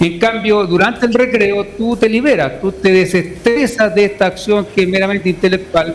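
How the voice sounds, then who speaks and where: Against noticeable background noise, a man with a high pitch speaks at a moderate pace, his pitch varying in an ordinary way. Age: 50s. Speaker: education researcher. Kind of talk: radio interview. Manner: repeats words often.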